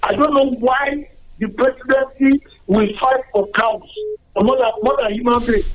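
Noticeable background noise sits behind a man whose extremely high pitch holds very even loudness at a fairly slow pace. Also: ordinary pitch variation. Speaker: caller. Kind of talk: phone-in comment. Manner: halting.

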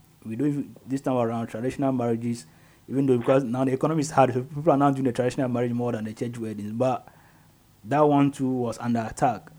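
This man talks at a very fast pace in a Ghanaian accent. His dark, mellow tone carries fairly even intonation. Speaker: radio host. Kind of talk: live radio talk show. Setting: radio studio, live broadcast.

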